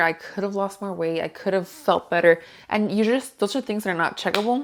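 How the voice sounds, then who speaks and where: Her pace is fairly quick. This woman has a medium-pitched voice with ordinary pitch variation. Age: 20s. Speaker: lifestyle vlogger. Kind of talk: casual vlog talk to camera. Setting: home, kids in background. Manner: chatty, conversational.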